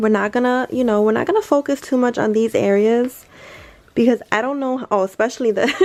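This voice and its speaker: Quiet woman's voice, fairly high-pitched with ordinary pitch variation, over noticeable background noise. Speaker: lifestyle YouTuber. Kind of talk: casual chat. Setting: bedroom at night, others sleeping. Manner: talking quietly.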